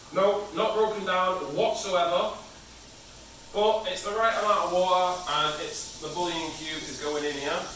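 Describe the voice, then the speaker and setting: A man with a British accent speaks in a high pitch at a fairly slow pace, with fairly even intonation. Noticeable background noise and audible room echo fill the recording. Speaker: home cook. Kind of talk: cooking tutorial. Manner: casual.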